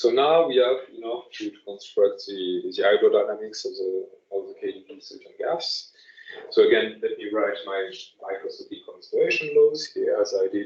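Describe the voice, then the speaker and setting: Loudness swings widely as the speech keeps a moderate pace. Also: man. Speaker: lecturer. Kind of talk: lecture. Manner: halting, many fillers and repetitions.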